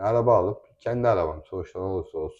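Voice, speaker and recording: Here a man speaks at a fairly quick pace. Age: 20s. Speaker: family vlogger. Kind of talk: casual chat. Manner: animated.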